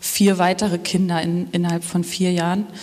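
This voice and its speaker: A woman's monotone, flat delivery at a moderate pace, over noticeable background noise. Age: 30s. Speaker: web developer, church member. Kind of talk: interview about faith journey during church service.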